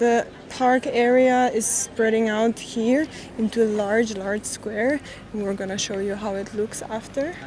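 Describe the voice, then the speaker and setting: With ordinary pitch variation, a woman talks in a non-native accent amid noticeable background noise. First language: not English. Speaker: travel vlogger. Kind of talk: travel vlog narration. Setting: outdoors.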